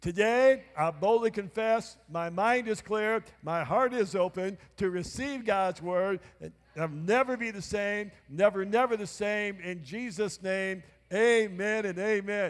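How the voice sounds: At a fairly slow pace, a man speaks with a high pitch, few pauses, and ordinary pitch variation.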